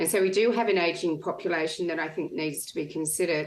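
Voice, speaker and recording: A woman with an Australian accent speaks at a fairly quick pace in a very deep, low voice, her pitch varying in an ordinary way. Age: 60s. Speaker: retired business owner. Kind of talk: panel discussion.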